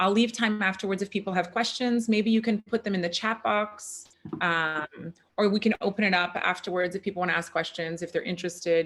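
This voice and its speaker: A normal speaking voice delivered at a fairly quick pace with fairly even intonation. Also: woman, medium pitch for a woman. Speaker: functional medicine practitioner and chiropractor. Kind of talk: online workshop presentation. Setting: video call.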